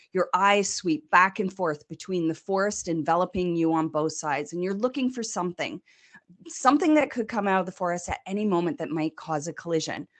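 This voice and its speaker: With a Canadian accent, a woman speaks at medium pitch and a fairly quick pace. Her intonation is lively, and the background is quiet. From Canada. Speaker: customer success consultant. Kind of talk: presentation.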